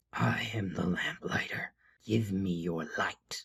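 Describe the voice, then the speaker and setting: In a put-on character voice, a man speaks with a raspy, fairly low pitch. His pitch variation is ordinary and his pace fairly slow. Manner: sinister, demanding.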